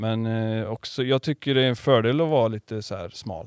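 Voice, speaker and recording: A man with a plain, everyday voice and fairly even intonation. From Karlstad, Värmland. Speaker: podcast host and surf shop owner. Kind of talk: casual interview. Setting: small podcast studio in his shop.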